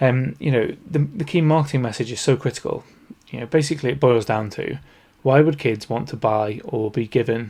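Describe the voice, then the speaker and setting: Speaking at a fairly quick pace, a man uses a medium pitch with ordinary pitch variation and a dark, mellow, somewhat breathy tone. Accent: Northern English. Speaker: podcast host, toy industry consultant. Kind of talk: solo podcast talk.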